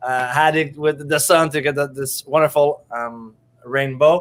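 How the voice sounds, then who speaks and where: At a moderate pace, a man with a French Canadian accent speaks at a fairly high pitch with ordinary pitch variation. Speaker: show host, coach. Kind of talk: interview. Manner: animated.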